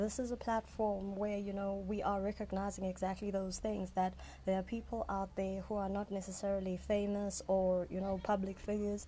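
With hardly any pauses, a woman speaks at a moderate pace in a medium-pitched, somewhat breathy voice that is dark and mellow, her intonation monotone and flat. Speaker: podcast host. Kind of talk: casual interview chat.

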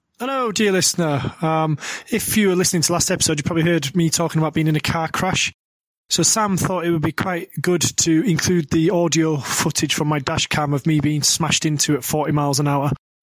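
A man with a normal speaking voice talks at a fairly quick pace and a fairly high pitch, his loudness very even and his pitch variation ordinary. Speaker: podcast host. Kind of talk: casual comedy chat.

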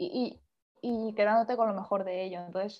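At a fairly quick pace, a woman talks in an ordinary speaking voice. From Spain, Castellón area, small town. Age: young. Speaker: singer-songwriter. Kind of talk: interview.

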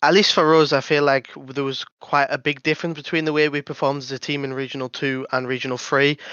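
A man with a British accent talks at a very fast pace, barely pausing. His pitch is fairly high and his intonation monotone and flat. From Britain. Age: 20s. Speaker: pro esports player. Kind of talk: casual chat.

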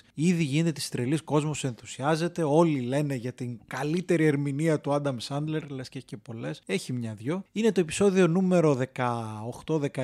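Speaking at a moderate pace, a man with a fairly high pitch and a dark, mellow tone shows big swings in loudness. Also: ordinary pitch variation. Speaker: podcast host. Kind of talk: casual chat. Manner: animated.

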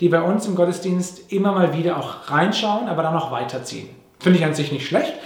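A man speaks in a high pitch. Noticeable background noise and audible room echo fill the recording. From Papua New Guinea (Manus), then Germany from age nine. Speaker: pastor. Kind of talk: sermon. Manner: conversational with fillers.

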